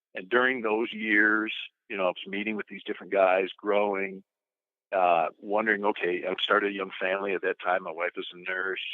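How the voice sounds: A man talks at a fairly quick pace with a low pitch and fairly even intonation, in a dry, close sound with no echo.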